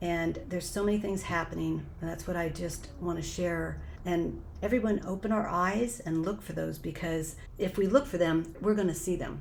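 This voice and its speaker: A woman with an American accent at a moderate pace, ordinary pitch variation, and audible room echo. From Southern California. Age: 60s. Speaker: mother of twelve sharing faith story. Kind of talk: podcast interview testimony. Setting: podcast interview.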